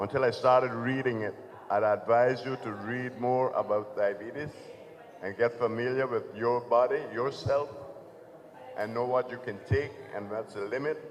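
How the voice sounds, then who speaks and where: Speaking at a medium pitch with fairly even intonation, a man keeps a moderate pace. He leaves long, frequent pauses, and noticeable background noise is present. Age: 70s. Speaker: panelist at health fair, diabetes patient. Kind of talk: testimony. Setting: community center event with audience.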